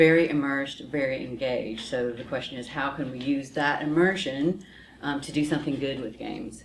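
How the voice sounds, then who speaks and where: A woman with a very deep, low voice talks at a fairly quick pace and fairly even intonation, with audible echo from the room. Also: big swings in loudness. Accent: American. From United States. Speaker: professor and psychologist. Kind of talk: lecture.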